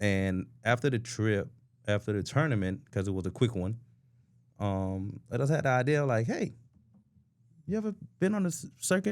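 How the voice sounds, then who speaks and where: With an animated tone and very wide pitch swings, a man at a medium pitch speaks at a moderate pace, leaving long, frequent pauses. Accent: American. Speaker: softball player and podcast co-host. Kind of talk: casual chat.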